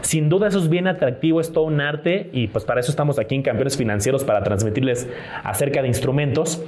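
The speech moves at a fairly quick pace with lively intonation. Audible room echo and noticeable background noise surround it. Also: man. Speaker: finance podcast co-host, former banker. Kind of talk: casual chat. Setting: live stream.

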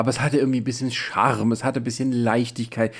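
This man's pitch is medium, and he talks very fast. The background is silent in a very clean recording. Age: 40s. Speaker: podcast host. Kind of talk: casual film review chat. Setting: in person in the same room.

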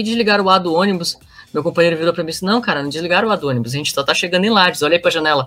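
Over music in the background, a man speaks very fast in a high voice with ordinary pitch variation. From northern Brazil, Pará. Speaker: returned missionary. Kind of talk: casual interview storytelling. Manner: animated.

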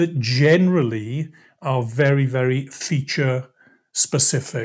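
In a Welsh accent, a man with a fairly high pitch speaks at a very slow pace, somewhat breathy and with fairly even intonation, on a very clean recording with a silent background. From Wales, Swansea. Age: 50s. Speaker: sales presentation trainer. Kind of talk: podcast interview.

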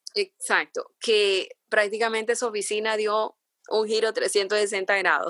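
Recorded dry and close with no echo, a woman with a plain, everyday voice speaks at a medium pitch with fairly even intonation. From Honduras, San Pedro Sula. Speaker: entrepreneur. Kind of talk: interview.

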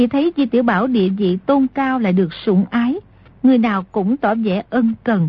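A woman speaks at a moderate pace with an ordinary speaking voice. Her pitch is fairly high, with ordinary variation. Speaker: audiobook narrator. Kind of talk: reading aloud, story narration.

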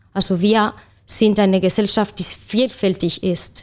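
Speaking at a fairly slow pace with a Spanish accent, a woman keeps a medium pitch and fairly even intonation. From Spain. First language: Spanish (speaking German). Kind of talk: panel discussion.

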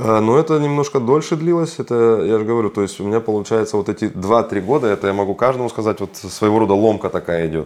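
The talking runs at a very fast pace with hardly any pauses. Its intonation is lively. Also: man, medium pitch for a man. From Kazakhstan. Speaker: financial consultant. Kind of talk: interview.

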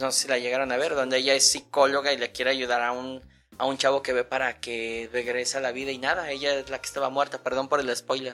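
A man's bright, sharp voice, very fast and monotone, with flat intonation. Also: medium pitch for a man. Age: 40s. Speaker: podcast guest. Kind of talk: casual chat.

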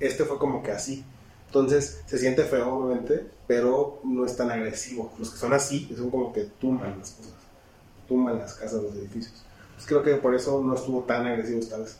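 With a Mexican accent, a man speaks at a medium pitch and moderate pace with fairly even intonation and big swings in loudness, and audible room echo. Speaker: podcast co-host. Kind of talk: casual chat.

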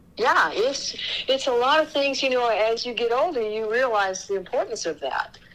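With an American accent and lively intonation, the speaker moves at a moderate pace over noticeable background noise. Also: woman, high pitch for a woman. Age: 60s. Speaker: barrel racer and horse trainer. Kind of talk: interview.

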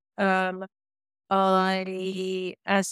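The recording is very clean, with a silent background and a dry, close sound with no echo. A woman speaks at medium pitch. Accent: British. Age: 50s. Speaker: yoga teacher and embodiment coach. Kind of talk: interview conversation.

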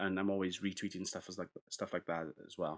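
Speaking with a Welsh accent, a man with fairly low pitch moves at a fairly quick pace in a dry, close recording with no echo. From Wales. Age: 30s. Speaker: rugby podcast host. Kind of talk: solo podcast commentary. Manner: casual, animated.

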